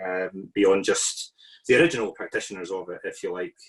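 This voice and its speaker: A man speaks with a Scottish accent. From Scotland. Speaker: artist and researcher, invited respondent. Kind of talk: panel response to a lecture. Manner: hesitant, many fillers.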